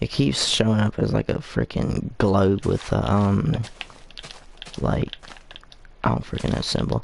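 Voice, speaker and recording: A man talks at a fairly slow pace with long, frequent pauses. Noticeable background noise sits behind him. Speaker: gaming livestreamer. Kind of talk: casual livestream chat. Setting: livestream. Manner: halting, many fillers.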